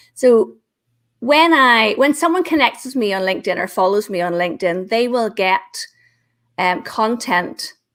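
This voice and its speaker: A woman with a Northern Irish accent, fairly high pitch, lively intonation and a moderate pace, on a very clean recording with a silent background. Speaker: LinkedIn business trainer. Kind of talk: interview on live show. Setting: live video stream.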